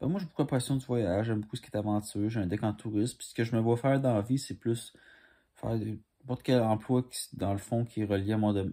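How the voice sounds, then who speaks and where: A man with a Quebec accent, fairly low-pitched with a dark, mellow tone, fairly even intonation and a fairly quick pace over a quiet background. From Quebec, Montreal. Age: 20s. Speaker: commercial auditionee; candidate. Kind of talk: audition self-presentation. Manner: halting. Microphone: phone near.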